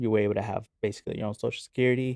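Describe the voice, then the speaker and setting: A man with a Spanish accent, monotone and flat in intonation, in a dry, close sound with no echo. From Oklahoma City, US. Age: 20s. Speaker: podcast guest sharing faith testimony. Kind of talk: casual interview, personal testimony.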